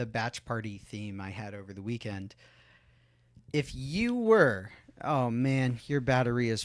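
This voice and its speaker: On a very clean recording with a silent background, a man with a plain, everyday voice talks at a fairly slow pace and medium pitch, his loudness swinging widely. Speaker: podcast host. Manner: casual, improvising.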